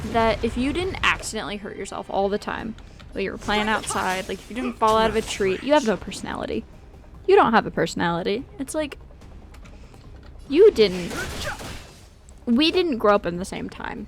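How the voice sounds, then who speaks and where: Music in the background behind a woman's fairly high voice, fairly quick in pace, with lively intonation, big swings in loudness and long, frequent pauses. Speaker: streamer. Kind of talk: casual chat. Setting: live stream.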